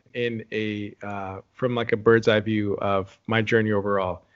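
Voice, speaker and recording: A man with an American accent and an ordinary speaking voice talks at a fairly slow pace in a medium pitch. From Texas, San Antonio. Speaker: reality TV contestant and performer. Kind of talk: interview.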